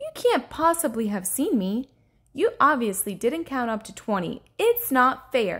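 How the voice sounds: Using a put-on character voice, a woman talks at a fairly slow pace with a fairly high pitch, big pitch swings, a fairly bright tone and a slightly husky edge.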